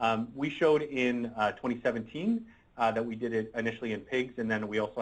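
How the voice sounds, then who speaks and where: A man at a medium pitch, talking at a fairly quick pace. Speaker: medical researcher presenting a device. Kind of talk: seminar presentation. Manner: fast; halting with many fillers and repeats.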